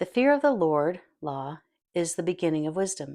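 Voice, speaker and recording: In a very clean recording with a silent background, a woman talks at a moderate pace with a fairly low pitch and an ordinary speaking voice. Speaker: audiobook narrator. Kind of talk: audiobook reading of a self-help book.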